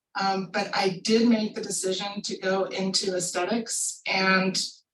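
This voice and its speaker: Music plays in the background as a woman speaks. Her medium pitch has monotone, flat intonation. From US Mid-Atlantic, southern Maryland. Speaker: pharmaceutical scientist. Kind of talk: career talk.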